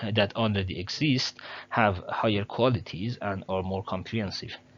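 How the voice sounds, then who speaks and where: This man has a non-native accent. His pitch sits fairly low. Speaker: educational channel host. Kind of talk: tutorial. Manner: halting, many fillers; careful, trying to speak clearly.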